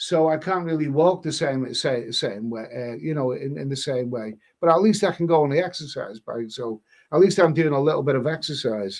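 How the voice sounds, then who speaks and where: Speaking at a fairly quick pace in an English accent, a man with a fairly high pitch uses lively intonation. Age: 60s. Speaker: live stream host. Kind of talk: casual chat. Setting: live stream. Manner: halting.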